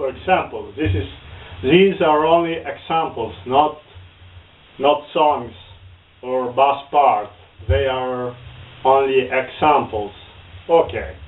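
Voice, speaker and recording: At a very slow pace, a man with an Italian accent speaks with ordinary pitch variation and long, frequent pauses. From northern Italy. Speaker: bass guitar teacher. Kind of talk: tutorial. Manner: halting.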